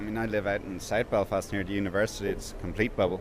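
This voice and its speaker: A man is speaking. He talks in a southern Irish accent. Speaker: interviewee. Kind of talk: interview. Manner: hesitant, many fillers.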